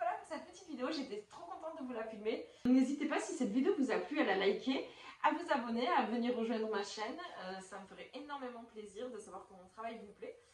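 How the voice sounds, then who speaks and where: The recording has audible room echo and noticeable background noise. The speech moves at a fairly quick pace with big swings in loudness. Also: woman, high pitch for a woman, lively intonation. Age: 30s. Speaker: YouTuber. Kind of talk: product review vlog. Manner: casual, hesitant with many fillers.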